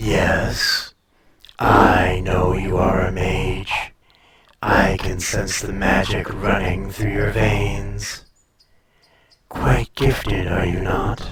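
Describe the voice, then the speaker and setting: A put-on character voice unfolds at a very slow pace, broken by long, frequent pauses. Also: man, very deep, low pitch for a man. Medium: audio drama. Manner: languid, superior, teasing.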